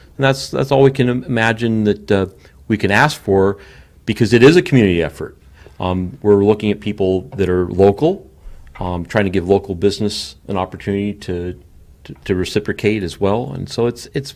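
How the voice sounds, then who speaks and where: Using an ordinary speaking voice, a man talks at a fairly quick pace, his fairly low pitch showing ordinary pitch variation. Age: 60s. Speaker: show creator and producer. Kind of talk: interview.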